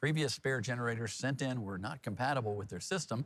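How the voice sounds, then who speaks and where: A man speaks in a somewhat breathy voice at a fairly quick pace. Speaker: TV news anchor. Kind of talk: TV news headline read.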